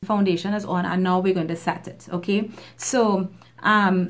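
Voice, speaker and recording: The woman's voice is at a medium pitch. She talks at a moderate pace. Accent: Trinidadian. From Trinidad. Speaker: beauty YouTuber. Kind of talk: makeup tutorial talk to camera.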